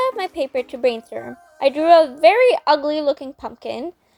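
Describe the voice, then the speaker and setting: A woman's high voice with very wide pitch swings at a moderate pace, dry and close with no echo, music in the background. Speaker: hobby painter. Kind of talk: casual craft video voiceover.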